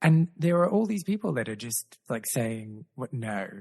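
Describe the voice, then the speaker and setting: A man speaks at a medium pitch in an Australian accent, with very wide pitch swings. His voice is somewhat breathy, and the sound is dry and close with no echo. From Australia, Adelaide. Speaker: podcast host. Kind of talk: casual chat. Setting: video call.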